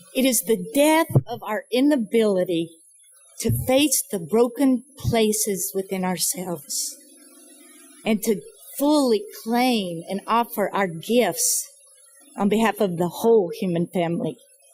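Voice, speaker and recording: A woman with an American accent and a fairly high pitch, music in the background. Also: lively intonation, fairly slow pace. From US South, North Carolina mountains. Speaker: nonprofit founder and speaker. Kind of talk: speech. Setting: fundraising breakfast event. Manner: reflective, measured.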